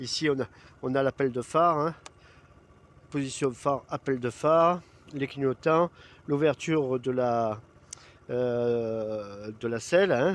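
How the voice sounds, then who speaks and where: The man's voice sits at medium pitch. He talks at a very slow pace, with long, frequent pauses. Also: ordinary pitch variation. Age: 60s. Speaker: video blogger. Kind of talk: product presentation. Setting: outdoors. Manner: casual, hesitant with many fillers.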